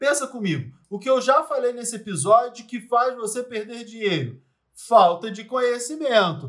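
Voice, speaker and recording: Big swings in loudness mark this man's extremely high voice, which has ordinary pitch variation. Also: moderate pace. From Rio de Janeiro, Brazil. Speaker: investment analyst and podcast host. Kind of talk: scripted educational podcast.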